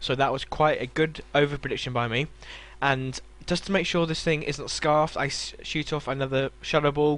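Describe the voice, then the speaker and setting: A man with a British accent, fairly high in pitch, with fairly even intonation and a moderate pace. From Britain. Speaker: gaming YouTuber. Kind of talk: game commentary narration. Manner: hesitant with fillers.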